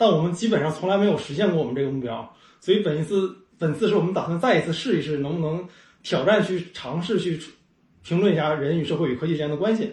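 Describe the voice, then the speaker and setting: A man talks at a very fast pace. His voice is high. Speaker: tech startup CEO and podcaster. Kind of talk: casual chat. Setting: over a meal at the host's home.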